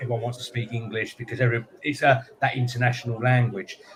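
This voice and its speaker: At a medium pitch, a man speaks with noticeable background noise behind him. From UK. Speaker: business show co-host. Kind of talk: live panel chat. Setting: live stream studio.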